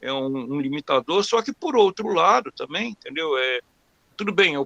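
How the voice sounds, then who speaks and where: A man talks in a raised, projected voice with lively intonation. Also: dry, close sound with no echo. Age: 60s. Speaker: webinar participant asking a question. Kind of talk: personal question during a webinar Q&A. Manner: halting, many repetitions and fillers.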